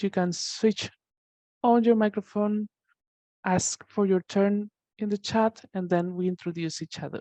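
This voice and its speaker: Speaking with a Spanish accent, a woman has a medium pitch and a dark, mellow tone. She goes at a fairly slow pace with long, frequent pauses and fairly even intonation. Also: dry, close sound with no echo. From Spain. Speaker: teacher trainer. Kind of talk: online training session. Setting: video call. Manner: halting.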